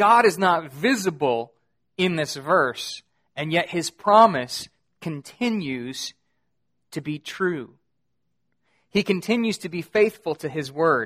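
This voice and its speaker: Speech comes at a very slow pace with long, frequent pauses. The recording is very clean, with a silent background. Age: 30s. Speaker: pastor. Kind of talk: sermon.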